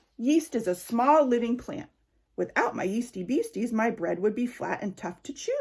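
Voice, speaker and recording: A woman performs a put-on character voice at a fairly high pitch. She goes at a moderate pace. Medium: read story. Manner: fussy, exclaiming "oh my".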